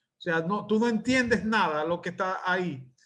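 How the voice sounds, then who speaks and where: In a Maracaibo accent, a man talks at a moderate pace with ordinary pitch variation. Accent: Venezuelan Spanish, Maracaibo (maracucho). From Venezuela, Maracaibo. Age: 60s. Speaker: literature professor. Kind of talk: lecture. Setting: video call. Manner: halting, with frequent fillers.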